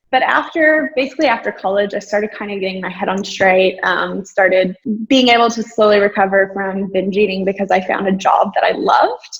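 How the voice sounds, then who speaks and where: A woman talks at a fairly quick pace with hardly any pauses, her pitch medium and its variation ordinary. Noticeable background noise sits behind her. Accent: Texan. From rural Texas, US. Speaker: businesswoman and entrepreneur. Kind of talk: interview. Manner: casual, many filler words.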